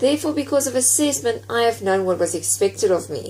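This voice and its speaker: A woman talks at a fairly quick pace as noticeable background noise carries on behind her. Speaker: university student. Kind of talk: prepared presentation.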